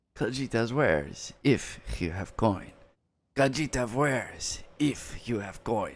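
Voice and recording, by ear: A put-on character voice talks at a fairly slow pace on a very clean recording with a silent background. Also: man, medium pitch for a man.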